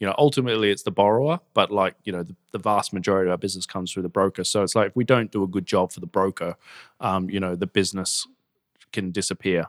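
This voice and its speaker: A man with an Australian accent speaks at a very fast pace, fairly low in pitch, with fairly even intonation. The recording is very clean with a silent background and a dry, close sound with no echo. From Australia, Gold Coast. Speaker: fintech company co-founder and chairman. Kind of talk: interview.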